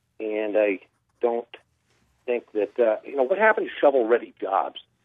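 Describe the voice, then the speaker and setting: Man with an American accent, medium pitch, ordinary pitch variation, moderate pace. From California. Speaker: caller. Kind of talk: call-in comment. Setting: phone call. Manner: halting, many fillers.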